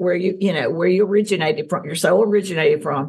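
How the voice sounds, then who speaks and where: In a Southern US accent, a woman speaks at a medium pitch with fairly even intonation. Her voice is somewhat breathy. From US South, Tennessee. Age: 60s. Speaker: alien contactee. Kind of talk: interview.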